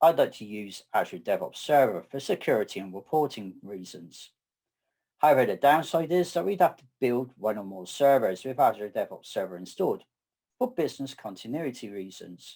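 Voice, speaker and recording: A man speaks at a fairly high pitch in a southwest English accent, his dark, mellow tone swinging very widely in pitch and greatly in loudness. The recording is very clean with a silent background. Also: moderate pace. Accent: English (southwest UK). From southwest England. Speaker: data architect and conference speaker. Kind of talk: technical presentation.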